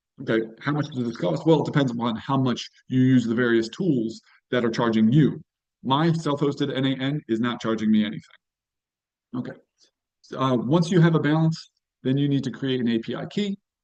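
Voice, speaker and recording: His pitch medium with ordinary variation, a man speaks at a fairly quick pace broken by long, frequent pauses. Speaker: AI tools presenter, data professional. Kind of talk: live tutorial webinar. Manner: fast; casual, conversational.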